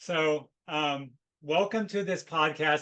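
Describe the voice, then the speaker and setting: A man's fairly high, bright, sharp voice with ordinary pitch variation. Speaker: podcast host. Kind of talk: podcast interview conversation.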